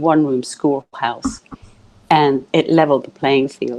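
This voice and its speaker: This woman has a dark, mellow tone and speaks with a British accent. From UK. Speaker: coach. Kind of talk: interview. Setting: live video stream.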